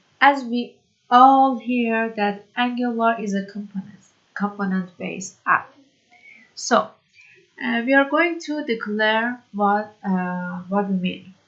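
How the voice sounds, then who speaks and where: A woman's fairly high-pitched voice in a non-native accent, very slow in pace, with ordinary pitch variation. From Iran. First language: Persian. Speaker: programming tutor. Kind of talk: tutorial. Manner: halting, many fillers.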